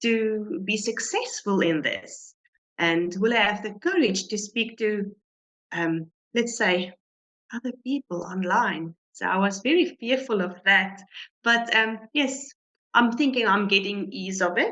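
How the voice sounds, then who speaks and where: A woman with a non-native accent speaks at a fairly slow pace, her fairly high voice carrying lively intonation. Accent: foreign. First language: not English. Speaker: business member. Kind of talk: interview testimony. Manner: halting.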